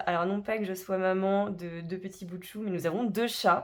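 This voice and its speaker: A woman of medium pitch talks with fairly level intonation. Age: 30s. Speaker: personal finance vlogger. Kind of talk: casual vlog self-introduction. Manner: hesitant, many filler words.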